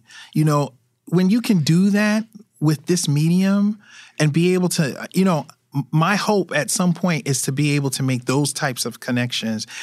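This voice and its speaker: A man with an American accent, a plain, everyday voice, fairly high pitch and lively intonation at a moderate pace, on a very clean recording with a silent background. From Brooklyn, New York. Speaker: street photographer. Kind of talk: interview conversation.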